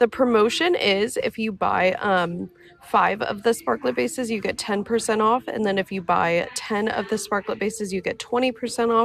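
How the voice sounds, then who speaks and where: Against noticeable background noise, a woman with a fairly high voice speaks at a moderate pace with lively intonation. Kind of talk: live sales demo and tutorial. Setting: studio live stream. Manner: casual, chatty.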